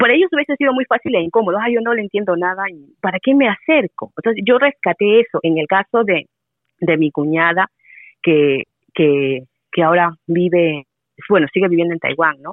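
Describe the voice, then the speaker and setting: Speaking at a fairly quick pace, a woman with a medium-pitched voice swings very widely in pitch. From Peru. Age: 40s. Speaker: Spanish teacher. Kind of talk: casual interview conversation.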